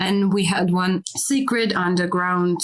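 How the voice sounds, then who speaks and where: Medium-pitched female voice with a Russian accent, over noticeable background noise. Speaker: filmmaker. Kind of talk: interview. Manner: halting, many fillers.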